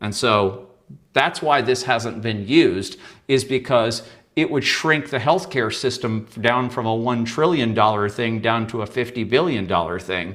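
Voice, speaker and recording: This man has an ordinary speaking voice at a medium pitch. He talks at a fairly slow pace with ordinary pitch variation. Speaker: guest author and shadow work teacher. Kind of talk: interview presentation with slides.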